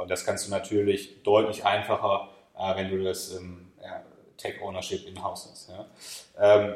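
A man at a very slow pace, with big swings in loudness. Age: 30s. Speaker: e-commerce company managing director. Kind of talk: podcast interview.

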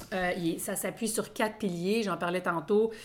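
A woman's medium-pitched voice at a moderate pace. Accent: Quebec. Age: 40s. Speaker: podcast co-host. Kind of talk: casual chat. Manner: halting.

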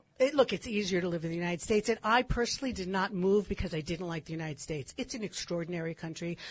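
Somewhat breathy and very fast, a woman with an American accent talks at a medium pitch with lively intonation and hardly any pauses. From California. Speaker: commentator on Israeli history. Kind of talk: radio interview.

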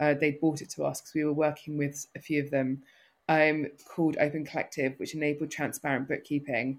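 A woman talks at a fairly quick pace in a very deep, low voice with monotone, flat intonation and big swings in loudness. The recording is very clean with a silent background. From north London. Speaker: social enterprise founder and CEO. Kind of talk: casual interview conversation. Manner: hesitant, filler-heavy.

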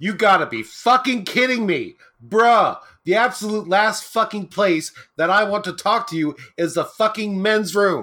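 A man uses a raised, projected voice at a high pitch, with a bright, sharp tone and ordinary pitch variation. He keeps a moderate pace in a very clean recording with a silent background. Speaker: podcast co-host. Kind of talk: casual chat.

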